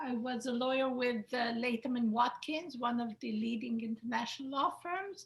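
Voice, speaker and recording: A woman with a high pitch and ordinary pitch variation talks with hardly any pauses. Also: moderate pace. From Israel. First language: Hebrew. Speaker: attorney. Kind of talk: webinar self-introduction.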